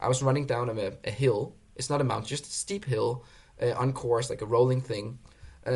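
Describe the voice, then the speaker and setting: A man with a Danish accent, somewhat breathy, fairly even in intonation, at a moderate pace. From Denmark. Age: 30s. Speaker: obstacle course racer. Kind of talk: casual interview chat. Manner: casual, swears often.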